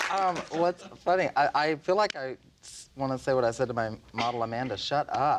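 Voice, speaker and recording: Speaking in a Southern US accent, a man with a fairly high pitch moves at a fairly quick pace, his intonation lively and his loudness swinging widely. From US South, Nashville, Tennessee. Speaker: fashion designer. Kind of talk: casual chat.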